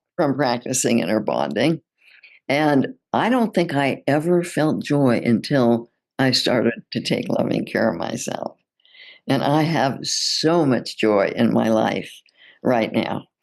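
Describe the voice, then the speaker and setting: Over a quiet background, a woman speaks at a very slow pace in a very deep, low pitch with vocal fry and lively intonation. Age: 80s+. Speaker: psychotherapist and relationship author. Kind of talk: interview.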